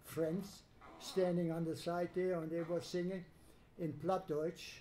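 Against light background noise, a man speaks in a monotone, flat way at a high pitch, his tone dark and mellow. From Germany. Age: 80s+. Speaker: Holocaust survivor. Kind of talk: testimony talk to students. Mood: calm, reflective storytelling. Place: classroom. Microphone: handheld.

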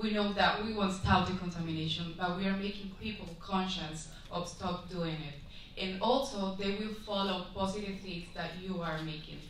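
Speaking with a Spanish accent at a moderate pace, a woman uses fairly even intonation and hardly any pauses, with light background noise and audible room echo. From Guatemala. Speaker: beauty pageant contestant. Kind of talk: pageant judging interview. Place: hall.

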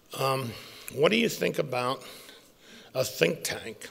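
The speech moves at a very slow pace. Vocal fry runs through the voice. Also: man. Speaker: conference speaker. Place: hall. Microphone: podium.

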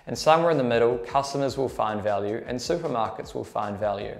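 A man with a New Zealand accent at a fairly quick pace, music in the background. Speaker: junior trader. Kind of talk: tutorial. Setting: quiet room away from trading floor. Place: office. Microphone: lapel.

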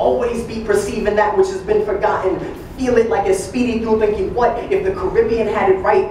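A man with a high pitch speaks at a moderate pace. Audible room echo and light background noise surround his voice. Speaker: slam poet. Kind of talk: slam poetry performance. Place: classroom.

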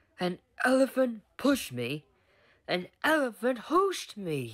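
A man does a put-on character voice at an extremely high pitch, hissing as he talks at a fairly slow pace. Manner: sulky, hissing.

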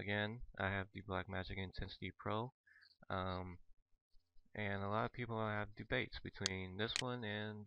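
A quiet man's voice, fairly low in pitch, with fairly even intonation at a moderate pace. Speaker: gaming video creator. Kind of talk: tutorial commentary. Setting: headset mic. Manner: hesitant, many fillers.

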